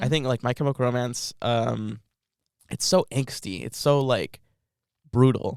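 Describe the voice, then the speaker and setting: Speaking with a Californian accent, a man uses a medium pitch with ordinary pitch variation and a fairly slow pace. He leaves long, frequent pauses, and the sound is dry and close with no echo. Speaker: college student. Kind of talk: casual podcast conversation. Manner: casual, filler-heavy.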